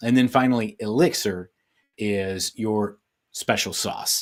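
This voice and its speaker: In a normal speaking voice, a man with a fairly low pitch and ordinary pitch variation talks fairly slowly in a very clean, dry, close recording with a silent background and no echo. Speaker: business coach. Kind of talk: presentation. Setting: virtual summit live stream.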